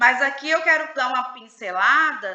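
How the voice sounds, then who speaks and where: With audible room echo and noticeable background noise around her, a high-pitched woman talks fairly slowly. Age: 40s. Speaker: psychoanalyst leading a book study group. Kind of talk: live online book study session.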